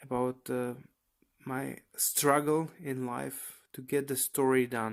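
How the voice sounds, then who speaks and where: Over a silent background in a very clean recording, a man with a non-native accent talks in a monotone, flat intonation. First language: not English. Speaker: aspiring graphic novel creator. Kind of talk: personal vlog monologue. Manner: relaxed, casual; halting, many fillers.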